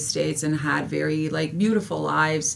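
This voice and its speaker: Over noticeable background noise, a woman speaks at a fairly quick pace. Her pitch is very deep and low. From Serbia / former Yugoslavia, moved to US as child. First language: Serbian. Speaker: history teacher. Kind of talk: interview testimony.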